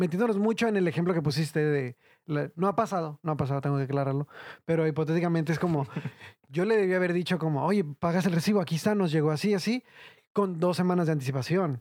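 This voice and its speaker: A man talks at a very fast pace in a high voice, his loudness very even throughout. The recording is very clean with a silent background, and his pitch varies in an ordinary way. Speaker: podcast host. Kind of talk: casual chat.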